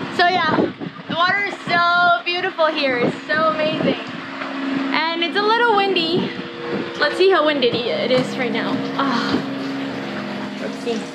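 A woman speaks with long, frequent pauses. Loud background noise fills the recording. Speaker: sailing vlogger. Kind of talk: casual vlog chat. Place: boat. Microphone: phone near.

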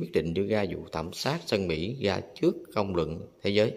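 He has a plain, everyday voice. This man's fairly low pitch moves with lively intonation. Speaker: vlogger touring a memorial museum. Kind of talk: casual vlog commentary. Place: hall. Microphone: phone near.

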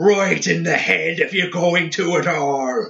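Shouting and bellowing at a slow pace, a man uses a put-on character voice with a bright, sharp tone, vocal fry, fairly high pitch and ordinary pitch variation.

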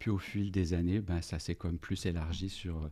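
A man speaks at a moderate pace in a very deep, low, somewhat breathy voice with a dark, mellow tone. His intonation is monotone and flat, against a quiet background. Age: 50s. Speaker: organizational development consultant and business coach; business coach. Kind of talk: casual interview. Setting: podcast studio. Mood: warm, reflective. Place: studio. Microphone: studio mic.

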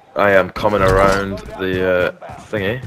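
A man speaks very slowly while noticeable background noise plays behind him. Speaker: gamer. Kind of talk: casual chat.

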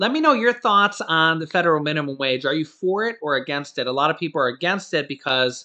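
The setting is quiet. A man speaks fairly quickly, his intonation lively. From US Midwest (Ohio). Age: 30s. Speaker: YouTuber. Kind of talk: video monologue. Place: home room. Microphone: webcam.

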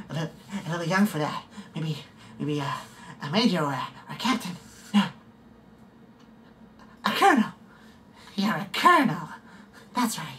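A man uses a put-on character voice at a high pitch, with lively intonation and big swings in loudness. He moves at a fairly quick pace but takes long, frequent pauses. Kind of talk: audition practice takes. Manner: menacing.

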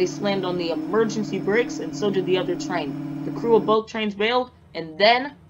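A woman of medium pitch with very wide pitch swings, at a fairly quick pace over noticeable background noise. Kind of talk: documentary narration. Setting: Roblox game footage voiceover. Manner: formal, measured news-style delivery; matter-of-fact, steady pace.

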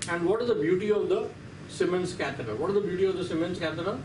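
Someone speaks very fast with an Indian accent and ordinary pitch variation over noticeable background noise. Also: man. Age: 60s. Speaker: radiology professor. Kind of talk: lecture. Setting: lecture hall. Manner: animated. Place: classroom.

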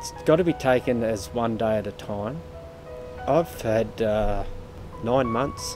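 Music plays in the background as a man speaks. His pace is fairly slow and his intonation lively. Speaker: landscaper and brain cancer survivor. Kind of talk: personal testimony for charity appeal. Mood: emotional, reflective. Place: garden.

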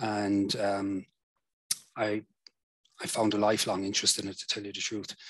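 A man at a fairly low pitch and moderate pace, with monotone, flat intonation.

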